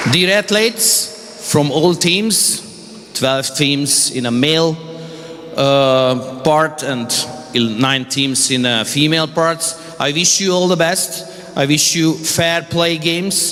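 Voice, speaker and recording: In a Hungarian accent, a man with a fairly high pitch speaks at a very slow pace with very even loudness and ordinary pitch variation, amid audible room echo and noticeable background noise. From Hungary. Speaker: sports official. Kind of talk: ceremonial speech. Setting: indoor event hall. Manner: halting.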